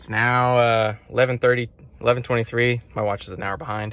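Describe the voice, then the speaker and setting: No echo colors this dry audio. Heavy background noise is present throughout. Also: man. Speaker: truck driver vlogger. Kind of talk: casual vlog chat. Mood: slightly worried about timing. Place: car. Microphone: phone near.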